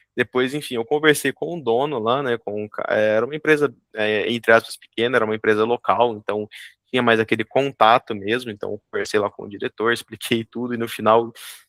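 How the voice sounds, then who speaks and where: A man speaks in a normal speaking voice at medium pitch, fairly quickly and with fairly even intonation. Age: 20s. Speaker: junior software developer and student. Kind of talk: interview.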